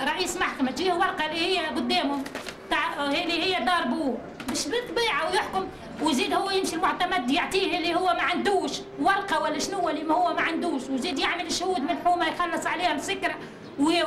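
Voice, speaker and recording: The speech moves at a fairly quick pace with very even loudness amid noticeable background noise. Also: woman, extremely high pitch for a woman, ordinary pitch variation. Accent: Tunisian. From Tunisia. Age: 40s. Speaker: mother of four pleading for help. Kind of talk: testimony. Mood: aggrieved, indignant. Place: home room. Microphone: camera far.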